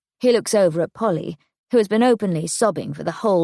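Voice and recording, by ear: The text is read aloud in a natural voice. The background is quiet.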